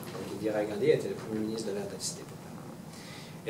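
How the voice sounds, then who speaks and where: Noticeable background noise and audible room echo surround this man's voice. He talks at a fairly slow pace with ordinary pitch variation. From Montreal, Quebec. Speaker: Buddhist reincarnated teacher giving a talk. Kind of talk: public talk. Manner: halting, many repetitions and fillers.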